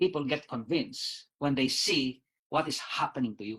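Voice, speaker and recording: Very wide swings mark his pitch. The speaker is a man. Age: 60s. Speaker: doctor. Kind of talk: presentation. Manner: halting.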